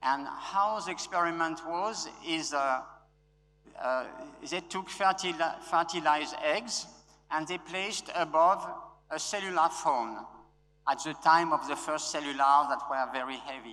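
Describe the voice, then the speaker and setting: Ordinary pitch variation and a fairly slow pace mark this man's bright, sharp voice, which sits at a fairly high pitch. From France. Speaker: conference speaker. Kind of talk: conference talk. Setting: stage with audience. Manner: loud; halting.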